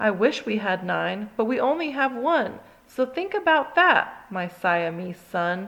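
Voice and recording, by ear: A natural voice reads the text aloud.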